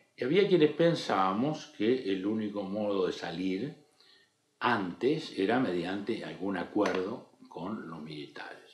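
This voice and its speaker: In audible room echo, a fairly low-pitched man speaks at a fairly slow pace with lively intonation and big swings in loudness. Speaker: politician. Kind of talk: interview. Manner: formal.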